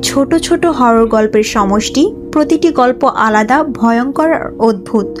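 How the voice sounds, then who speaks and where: Over background music, a woman talks in a high pitch with lively intonation. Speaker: voice-over artist. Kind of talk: anime explanation narration.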